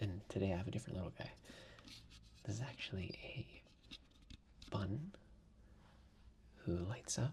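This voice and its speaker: Soft-spoken delivery at a fairly slow pace, broken by long, frequent pauses. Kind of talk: casual talk to camera. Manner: soft-spoken, slow.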